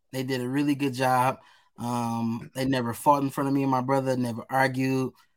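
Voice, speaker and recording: In a very clean recording with a silent background, a man with an American accent speaks at a moderate pace, medium in pitch and monotone, flat in intonation. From Detroit, east side. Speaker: nonprofit founder. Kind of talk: interview answers.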